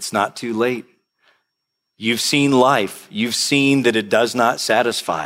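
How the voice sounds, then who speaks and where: At a fairly slow pace, a plain, everyday voice speaks with ordinary pitch variation. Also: man. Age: 50s. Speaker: pastor. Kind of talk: sermon.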